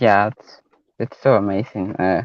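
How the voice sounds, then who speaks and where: The sound is dry and close with no echo as a man talks at a moderate tempo. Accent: non-native. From Guatemala. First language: Mayan language, also Spanish. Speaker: caller. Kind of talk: casual testimony. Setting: call-in on livestream. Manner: halting, hesitant.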